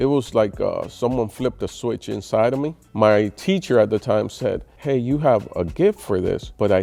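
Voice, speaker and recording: A man's normal speaking voice, medium in pitch, with lively intonation and a moderate pace. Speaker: stand-up comedian. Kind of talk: interview answer.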